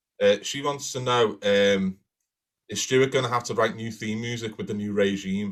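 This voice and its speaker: Speaking in a Liverpool accent, a man shows ordinary pitch variation. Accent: Liverpool (Scouse). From Liverpool, England. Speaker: crime writer, podcast co-host. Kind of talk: live-streamed casual chat, Q&A. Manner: animated.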